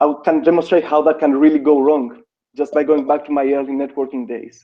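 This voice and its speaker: A man talks at a fairly quick pace. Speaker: networking consultant. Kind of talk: interview. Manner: fast.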